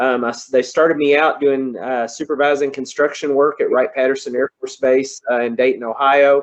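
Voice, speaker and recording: In a Kentucky accent, a man talks at a fairly quick pace, his fairly high voice monotone and flat. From Kentucky, Louisville area. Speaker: engineer. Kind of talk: presentation talk. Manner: halting, many fillers.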